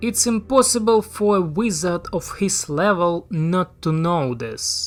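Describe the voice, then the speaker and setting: Someone with a non-native accent speaks at a fairly slow pace over music in the background. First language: not English. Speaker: YouTube film commentator. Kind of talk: scripted narration.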